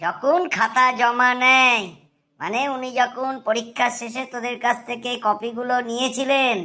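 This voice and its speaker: A woman puts on a cartoonish character voice, high in pitch, fairly slow, with ordinary pitch variation. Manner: teasing, know-it-all.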